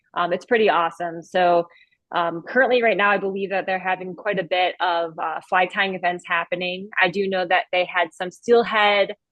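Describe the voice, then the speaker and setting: At a moderate pace, a woman with an unremarkable speaking voice talks at a medium pitch with fairly even intonation in an American accent. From Cleveland, Ohio. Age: 30s. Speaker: podcast guest, fly fisher and sales rep. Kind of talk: casual interview chat.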